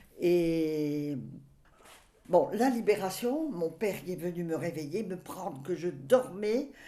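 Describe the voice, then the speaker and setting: Audible room echo carries a woman's fairly low, dark and mellow voice as she speaks at a very slow pace with lively intonation and big swings in loudness. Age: 80s+. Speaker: grandmother recounting memories. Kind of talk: reminiscing interview. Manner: halting.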